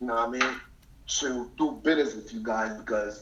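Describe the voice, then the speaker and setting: Amid noticeable background noise and audible room echo, a man with an American accent speaks at a fairly quick pace. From US Northeast (New York/New Jersey tri-state). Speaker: deportee, businessman. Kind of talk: casual chat. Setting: phone call.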